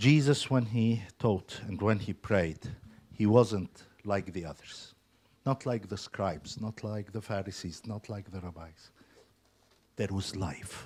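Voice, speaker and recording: A man's somewhat breathy, fairly low voice at a fairly slow pace, with ordinary pitch variation and big swings in loudness. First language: not English (English is his third language). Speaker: lay preacher. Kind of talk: sermon. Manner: hesitant, many fillers.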